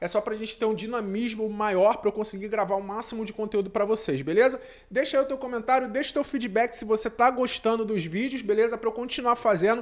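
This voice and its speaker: With hardly any pauses, a man talks at a fairly quick pace, high in pitch with ordinary pitch variation. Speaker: math teacher. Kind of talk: lecture. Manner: fast; casual. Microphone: needs a new microphone.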